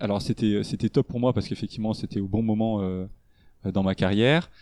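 A man with a medium-pitched voice and a dark, mellow tone speaks in a dry, close recording with no echo against a quiet background. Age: 30s. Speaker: e-commerce operations director. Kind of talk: interview. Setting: at home. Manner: halting.

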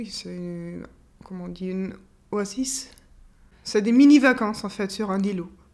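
Speaking with a German accent, a woman uses a medium pitch and ordinary pitch variation at a fairly slow pace, with long, frequent pauses and big swings in loudness. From Austria. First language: German (speaking French). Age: 30s. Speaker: orchestra violinist. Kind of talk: interview testimony. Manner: hesitant, with fillers and repetitions.

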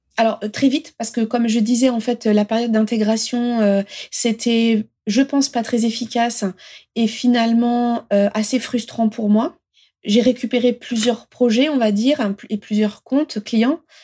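A woman with a fairly high pitch and a dark, mellow tone speaks at a fairly slow pace with monotone, flat intonation. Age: 40s. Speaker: manager. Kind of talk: interview. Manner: halting.

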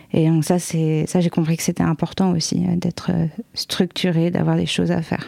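A woman talks at a moderate pace over noticeable background noise. Her fairly low voice stays very even in loudness, with a monotone, flat intonation. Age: 20s. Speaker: guest with bipolar disorder. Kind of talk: casual chat.

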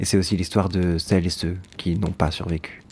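Very deep and low, a man's voice moves at a moderate pace in a monotone, flat intonation. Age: 30s. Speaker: podcast narrator. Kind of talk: scripted narration.

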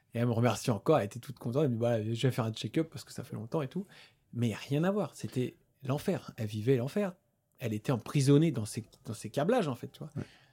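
A man at a very fast pace, somewhat breathy, dark and mellow in tone, with lively intonation and big swings in loudness, on a very clean recording with a silent background. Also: medium pitch for a man. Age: 30s. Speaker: osteopath. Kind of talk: casual chat. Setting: gym.

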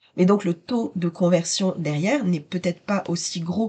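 Dark, mellow tone in a woman's voice, somewhat breathy. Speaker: business mentor podcast host. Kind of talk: solo podcast monologue.

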